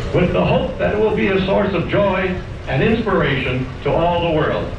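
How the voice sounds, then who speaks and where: Noticeable background noise and audible room echo surround the recording. A high-pitched man speaks at a moderate pace. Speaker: park announcer. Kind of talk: formal ceremonial announcement. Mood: celebratory, solemn. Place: street.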